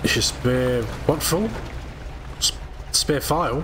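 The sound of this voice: Over audible room echo, a man speaks slowly at a medium pitch with ordinary pitch variation.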